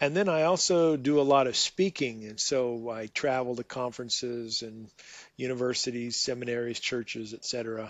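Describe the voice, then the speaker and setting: With an American accent, a man talks at a moderate pace in an unremarkable speaking voice. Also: medium pitch for a man, ordinary pitch variation. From USA. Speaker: theologian and professor. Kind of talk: casual interview.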